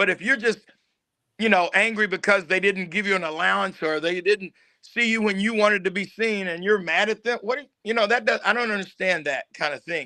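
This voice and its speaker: Against a quiet background, a man talks in a raised, projected voice at a high pitch, with a bright, sharp tone, ordinary pitch variation and a fairly quick pace. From Tennessee, Knoxville. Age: 60s. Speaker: actor and film producer. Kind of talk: interview.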